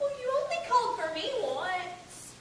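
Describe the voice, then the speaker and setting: A woman's put-on character voice, squeaky, bubbly and extremely high-pitched, at a moderate pace, with a clear echo and clear background noise. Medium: stage play. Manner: bubbly, chattering.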